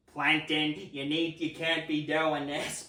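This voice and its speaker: The put-on character voice moves at a fairly slow pace with monotone, flat intonation. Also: man, fairly high pitch for a man. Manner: scolding, stern.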